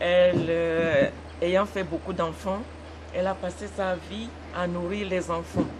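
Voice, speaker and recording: Noticeable background noise surrounds the recording. A woman speaks very slowly. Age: 70s. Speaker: daughter of the deceased at a funeral. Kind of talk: interview. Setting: funeral celebration. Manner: halting.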